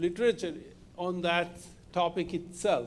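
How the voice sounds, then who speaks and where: A man speaks with a Bengali accent. His pitch is high. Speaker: industry researcher, keynote speaker. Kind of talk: Q&A answer after talk. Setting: live-streamed event with audience. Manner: halting, many fillers.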